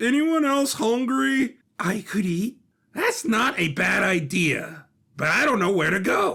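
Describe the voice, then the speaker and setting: A man puts on a character voice in a high pitch. His loudness stays very even. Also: fairly slow pace. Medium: audio drama. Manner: chatty, effusive.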